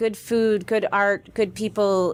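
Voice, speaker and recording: A woman with an unremarkable speaking voice, fairly high in pitch, at a fairly slow pace. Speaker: community farm and art program organizer. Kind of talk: radio interview. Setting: radio studio.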